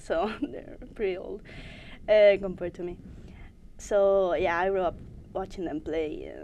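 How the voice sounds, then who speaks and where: A woman with a Spanish accent speaks fairly slowly, leaving long, frequent pauses. Her tone is dark and mellow. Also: medium pitch for a woman, ordinary pitch variation. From Spain, Madrid. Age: 20s. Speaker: esports player. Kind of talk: interview. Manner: halting.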